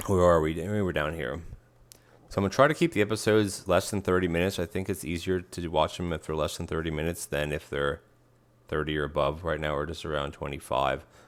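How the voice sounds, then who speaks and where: Mumbling at a very fast pace, a man with a very deep, low pitch speaks with ordinary pitch variation on a very clean recording with a silent background. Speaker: gaming youtuber. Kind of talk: let's play commentary. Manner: mumbly; halting, casual.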